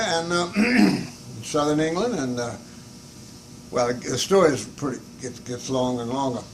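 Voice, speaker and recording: Very wide pitch swings run through the man's speech while noticeable background noise plays behind it. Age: 80s+. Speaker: hat shop owner, war veteran. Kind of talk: interview answer.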